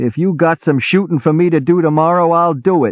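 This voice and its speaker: A man growls in a put-on character voice with an angry tone. He keeps a moderate pace. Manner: angry, growling.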